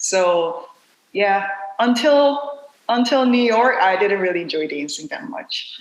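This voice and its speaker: Very wide pitch swings from a woman's fairly high voice at a very slow pace, with audible room echo. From South Korea. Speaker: dancer and dance company director. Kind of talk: podcast interview.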